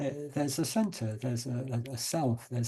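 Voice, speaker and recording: A man with a medium pitch speaks at a moderate pace in a dark, mellow tone that is somewhat breathy. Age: 70s. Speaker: psychotherapist and author. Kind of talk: interview. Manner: halting.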